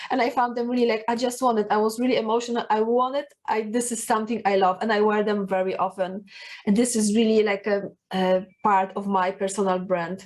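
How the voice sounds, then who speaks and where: A woman with a Polish accent speaks fairly quickly at a fairly high pitch, her intonation fairly even. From Poland. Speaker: personal branding coach. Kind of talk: talking-head video tips. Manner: halting, many fillers.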